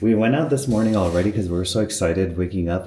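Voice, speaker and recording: A man is speaking. His voice is somewhat breathy. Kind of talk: casual talk to camera, reflective vlog narration. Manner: soft-spoken, reflective.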